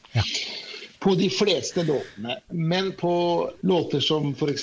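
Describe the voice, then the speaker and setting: Fairly slow speech from a man, with noticeable background noise. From Norway, moved from Iran at age six. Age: 40s. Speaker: singer-songwriter and multi-instrumentalist. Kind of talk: interview.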